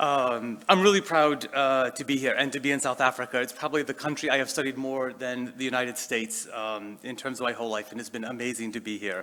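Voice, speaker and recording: A man with a Boston accent at medium pitch, very fast and with hardly any pauses, ordinary pitch variation, noticeable background noise. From Boston, US. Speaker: education leader. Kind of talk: keynote speech. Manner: hesitant, many fillers.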